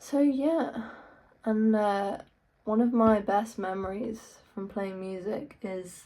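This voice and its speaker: Audible room echo surrounds a woman's voice. She has a fairly high pitch and a dark, mellow tone. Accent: English. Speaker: guitarist and YouTuber. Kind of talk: casual vlog talk. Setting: in own room.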